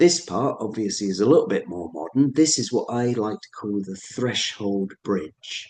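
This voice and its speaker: With a Suffolk accent, a man talks at a moderate pace in a dark, mellow tone, his pitch swinging very widely. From Suffolk, England. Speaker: ceremonialist, astronomer and photographer. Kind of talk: illustrated presentation talk.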